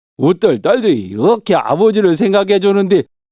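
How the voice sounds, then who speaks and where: The sound is dry and close with no echo. A man speaks in a dark, mellow tone. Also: very clean recording, silent background. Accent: Jeolla. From Jeonju, North Jeolla, Korea. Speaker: non-professional voice performer. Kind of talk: folk tale storytelling. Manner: relaxed, unhurried.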